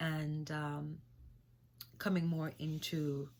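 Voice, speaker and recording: A woman with a slight Jamaican accent and a very deep, low pitch, on a very clean recording with a silent background. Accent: slight Jamaican patois. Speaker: singer-songwriter and spiritual vlogger. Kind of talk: spiritual talk vlog. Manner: halting, many fillers.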